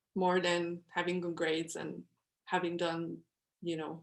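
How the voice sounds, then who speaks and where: A woman with a Quebec accent at a fairly slow pace. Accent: French Quebec accent when speaking English. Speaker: newspaper columnist. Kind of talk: workshop talk to students over video call. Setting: video call. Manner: casual, many fillers and restarts.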